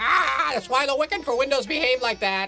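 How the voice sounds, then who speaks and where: A female-sounding put-on character voice, high-pitched and fairly quick, amid clear background noise. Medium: audio drama. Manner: clipped, squawky.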